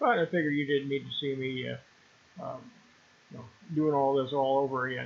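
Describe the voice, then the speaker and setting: A man speaks at a moderate pace in a fairly high pitch, his intonation fairly even. Noticeable background noise runs under his voice. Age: 70s. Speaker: retired truck driver and horse owner. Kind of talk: casual video voiceover. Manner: halting, many fillers.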